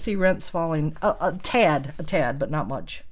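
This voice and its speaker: A woman speaks at a moderate pace in a Midwestern accent, her pitch fairly low and her intonation lively. The recording is very clean, with a silent background. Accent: Midwestern twang. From US Midwest. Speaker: realtor. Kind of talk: market commentary responding to prompts. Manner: casual, with fillers.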